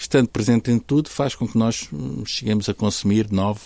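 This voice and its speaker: A man's voice sits at a fairly low pitch, with a dark, mellow tone. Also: dry, close sound with no echo. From Portugal, Algarve (Faro). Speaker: podcast host, nutrition school academic. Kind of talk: conversational interview.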